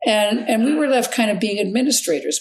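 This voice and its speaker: Speaking at a very fast pace with vocal fry, a woman talks with a Canadian accent. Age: 80s+. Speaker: family doctor. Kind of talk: interview.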